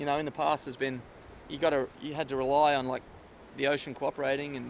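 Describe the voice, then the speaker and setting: Fairly high-pitched, a man talks at a very fast pace. His intonation is monotone and flat. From Australia. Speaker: professional surfer. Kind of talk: interview answer. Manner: casual, hesitant.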